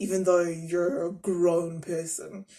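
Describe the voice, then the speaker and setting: Speaking with a Zulu accent, a woman uses a medium pitch. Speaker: YouTuber. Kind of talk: reaction commentary.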